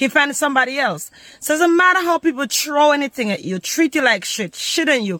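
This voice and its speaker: The speaker moves at a fairly quick pace against noticeable background noise. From Jamaica. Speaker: vlogger and workshop host. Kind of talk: promotional pitch; casual motivational vlog. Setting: outdoors in the bush.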